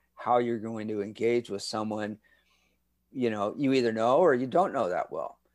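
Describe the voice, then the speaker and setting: The speaker talks in a Californian accent with ordinary pitch variation. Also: man. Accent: Californian American. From Southern California (Redondo Beach). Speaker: communication professor. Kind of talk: interview. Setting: video call.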